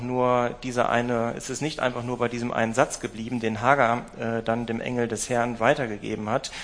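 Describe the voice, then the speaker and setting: Noticeable background noise surrounds a man who speaks at a medium pitch with a warm tone. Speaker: preacher. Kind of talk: sermon. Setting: church with livestream. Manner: warm, personal, direct address to the congregation; storytelling, measured, thoughtful with fillers.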